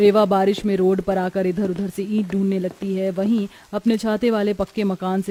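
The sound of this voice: With few pauses and little pitch movement, a woman speaks at medium pitch in a dark, mellow tone, with a dry, close sound and no echo.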